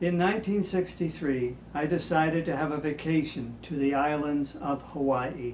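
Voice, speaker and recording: Hardly pausing, a man talks at a moderate pace with a fairly high pitch and ordinary pitch variation. Noticeable background noise and audible room echo fill the recording. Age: 70s. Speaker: home movie narrator. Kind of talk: scripted narration.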